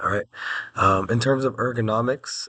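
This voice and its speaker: A man speaks at medium pitch with a bright, sharp tone. His intonation stays fairly even. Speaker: student presenter. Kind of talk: presentation. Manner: hesitant, many fillers.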